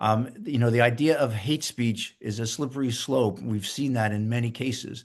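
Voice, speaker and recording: A man talks at a moderate pace with a medium pitch. His intonation stays fairly even, and the background is quiet. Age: 60s. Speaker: university president. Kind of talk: interview. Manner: halting, many repetitions.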